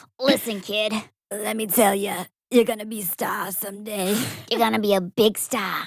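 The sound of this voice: A woman uses a put-on character voice that sounds raspy. She talks at a moderate pace and a medium pitch.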